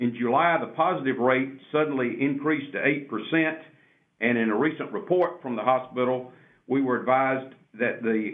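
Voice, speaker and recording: A man talks in an ordinary speaking voice. His pitch is medium, with ordinary variation. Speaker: city mayor.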